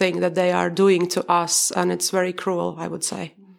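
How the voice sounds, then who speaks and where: Medium-pitched woman's voice, monotone and flat in intonation, at a moderate pace over noticeable background noise. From Baltic states. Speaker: mother living abroad. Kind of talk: casual chat.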